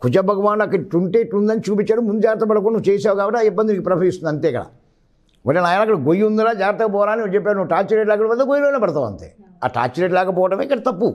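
A man with a high voice and ordinary pitch variation. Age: 70s. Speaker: astrologer; guest. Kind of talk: interview explanation. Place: studio.

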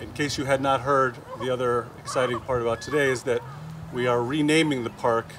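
At a fairly quick pace, a man talks in a monotone, flat intonation over noticeable background noise. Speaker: town official hosting a memorial. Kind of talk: memorial speech. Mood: warm, respectful. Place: open country. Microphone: podium.

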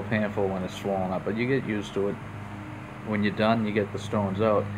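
There is noticeable background noise behind a man's voice. He speaks fairly low in a monotone, flat way. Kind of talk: casual tutorial. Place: home room. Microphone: phone near.

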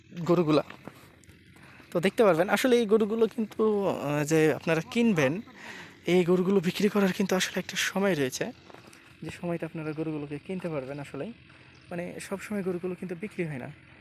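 A man with a high pitch and ordinary pitch variation talks over noticeable background noise. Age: 20s. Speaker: village vlogger. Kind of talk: casual chat; vlog narration. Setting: outdoors.

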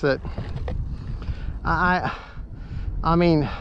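A man's fairly high voice, very slow, with fairly even intonation and faint background noise. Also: fairly bright tone.

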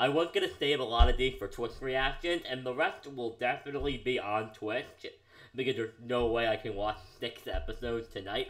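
The speech moves at a moderate pace with a quiet background. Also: man. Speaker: anime reaction youtuber. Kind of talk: casual vlog chat. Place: home room.

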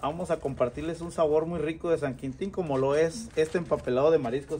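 Over light background noise, a voice with a dark, mellow tone moves at a fairly quick pace with ordinary pitch variation. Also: man. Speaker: cooking vlogger. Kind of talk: casual vlog chat. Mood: cheerful, enthusiastic. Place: garden. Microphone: phone near.

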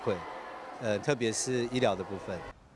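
A man speaks with a dry sound that has no echo. Noticeable background noise runs beneath his voice. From Dawu, Taitung, Taiwan; Taiwan. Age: 40s. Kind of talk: interview. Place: hall. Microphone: handheld.

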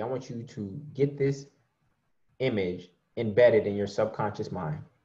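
A man at a moderate pace, with lively intonation, a somewhat breathy voice and a quiet background. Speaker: online preacher and money teacher. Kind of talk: sermon mixed with teaching and slides; guided meditation, eyes closed visualization. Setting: video call. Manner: animated, warm, encouraging. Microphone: webcam.

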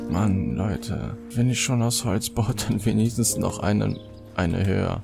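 A man at a fairly slow pace, with clear music in the background. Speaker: gamer streamer. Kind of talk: casual gaming commentary to camera. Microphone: studio mic.

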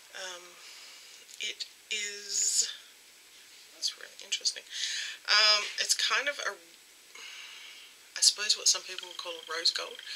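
Light background noise sits behind a woman who talks at a very slow pace with long, frequent pauses. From Australia. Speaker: beauty YouTuber. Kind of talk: unboxing haul video. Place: home room. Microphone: webcam.

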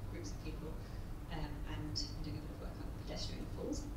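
A woman at a fairly quick pace, with loud background noise and audible room echo. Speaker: panellist. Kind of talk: panel discussion remarks. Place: hall.

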